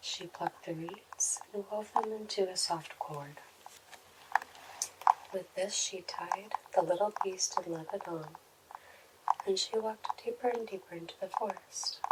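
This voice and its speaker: A woman at medium pitch with fairly even intonation, a fairly slow pace, long, frequent pauses and noticeable background noise. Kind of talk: ASMR fairy tale reading. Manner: whispered, soft.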